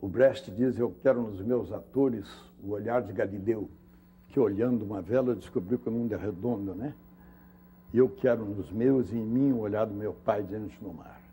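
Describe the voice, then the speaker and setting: A man speaks at a moderate pace in a dark, mellow, somewhat breathy tone. His pitch varies in an ordinary way, while his loudness swings widely. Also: fairly low pitch for a man. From Minas Gerais, Brazil. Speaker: actor. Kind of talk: interview answer. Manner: storytelling, reflective.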